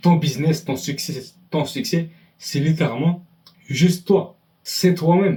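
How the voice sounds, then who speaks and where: Long, frequent pauses break up a man's high-pitched speech. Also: ordinary pitch variation, fairly slow pace. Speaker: self-improvement YouTuber. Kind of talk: motivational monologue to camera. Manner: halting.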